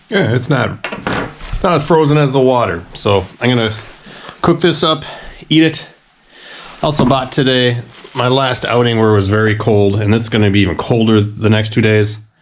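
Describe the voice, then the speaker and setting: A man speaks at a medium pitch and moderate pace, with very even loudness, ordinary pitch variation and long, frequent pauses. Noticeable background noise and audible room echo fill the recording. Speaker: outdoor vlogger. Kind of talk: casual vlog narration.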